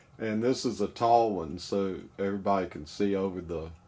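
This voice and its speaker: A man speaks at a fairly slow pace, his fairly low pitch moving with ordinary variation. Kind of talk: casual vlog chat. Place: boat.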